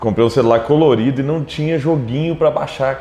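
A man speaks at a medium pitch. Noticeable background noise runs under his voice. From Minas Gerais, Brazil (Triângulo Mineiro, Araguari). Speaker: tech entrepreneur. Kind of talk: interview.

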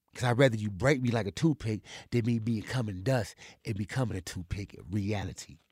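Fairly quick, somewhat breathy delivery with big swings in loudness and ordinary pitch variation. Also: man, fairly low pitch for a man, very clean recording, silent background. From Compton, California. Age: 40s. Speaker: formerly incarcerated man. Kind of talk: interview testimony.

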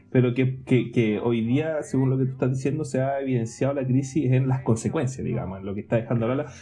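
Noticeable background noise and audible room echo sit under a man's voice. He speaks fairly quickly at a medium pitch, with fairly even intonation. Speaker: podcast co-host. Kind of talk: casual chat. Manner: halting.

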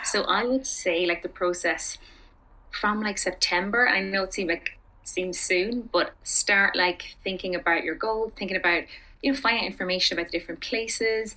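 This is a woman with an Irish accent. She speaks at a moderate pace with ordinary pitch variation. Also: medium pitch for a woman. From Ireland. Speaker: expat teacher and community founder. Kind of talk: casual interview chat.

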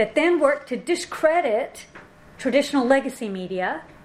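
A woman talks at a fairly quick pace, and noticeable background noise can be heard. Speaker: panelist and moderator. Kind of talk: panel talk. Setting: in-person event with audience.

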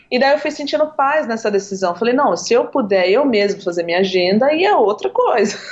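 Talking at a fairly quick pace with hardly any pauses, a woman swings her pitch very widely while her loudness stays very even, over noticeable background noise. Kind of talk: interview.

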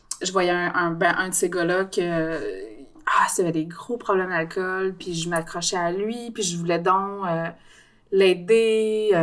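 Amid noticeable background noise, a woman with a Quebec accent talks very slowly at a medium pitch. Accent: Québécois French. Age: 30s. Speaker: podcast guest. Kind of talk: casual chat.

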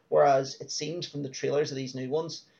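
In an Irish accent, a man speaks at a moderate pace and medium pitch with monotone, flat intonation. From Ireland. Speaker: film podcast co-host. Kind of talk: casual chat. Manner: hesitant, many fillers.

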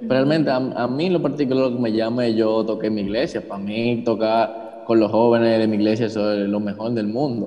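With audible room echo and noticeable background noise, a man at a medium pitch talks at a fairly quick pace with hardly any pauses and fairly even intonation. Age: 20s. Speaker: church worship musician. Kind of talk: casual chat.

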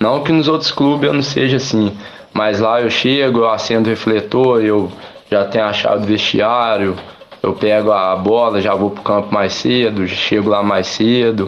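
With audible room echo and noticeable background noise, a man speaks at a fairly low pitch and moderate pace, with ordinary pitch variation. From Minas Gerais, Brazil (São João del-Rei). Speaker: amateur footballer and barber. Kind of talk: radio interview.

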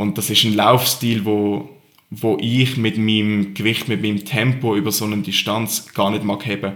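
The man speaks at a moderate pace with a fairly low pitch. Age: 20s. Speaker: CrossFit athlete. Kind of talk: interview. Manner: calm.

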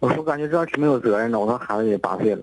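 Speaking very fast, a man lets his pitch move in an ordinary way. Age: 30s. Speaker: caller, design studio owner. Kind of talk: phone-in advice call. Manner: halting.

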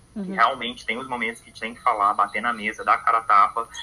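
Noticeable background noise sits behind this recording. The speaker is a man with a medium pitch. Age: 20s. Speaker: podcast guest. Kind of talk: casual chat. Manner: halting.

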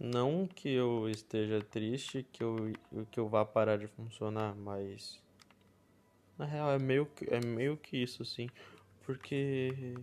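Soft-spoken and very slow, a man at a medium pitch talks with ordinary pitch variation and long, frequent pauses. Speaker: podcast host. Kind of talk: casual monologue. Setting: at home, others nearby. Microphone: close to the mic.

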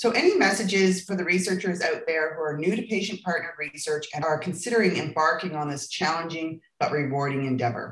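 A woman speaks with a fairly low pitch and ordinary pitch variation. She barely pauses at all. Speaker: podcast host, health network director. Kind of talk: interview.

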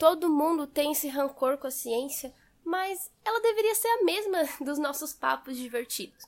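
A woman's high voice at a moderate pace, swinging very widely in pitch. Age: 20s. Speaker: physics graduate and science communicator. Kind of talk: recorded personal monologue.

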